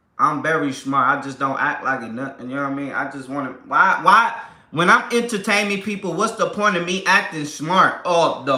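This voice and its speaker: A man's high voice with lively intonation and an animated tone, moderate pace, big swings in loudness, audible room echo and noticeable background noise. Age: 30s. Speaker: family vlogger / livestream host. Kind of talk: casual livestream chat. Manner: animated, repetitive.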